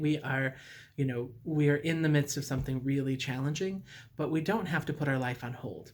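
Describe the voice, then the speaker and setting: At a moderate pace, the voice sounds somewhat breathy. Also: man. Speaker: recovery group leader. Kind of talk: recorded talk to a recovery group. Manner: many fillers (uh, um).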